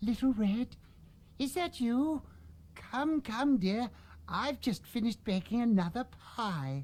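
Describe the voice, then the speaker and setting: A female-sounding put-on character voice, fairly high in pitch, goes at a fairly slow pace with long, frequent pauses. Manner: sweet, inviting.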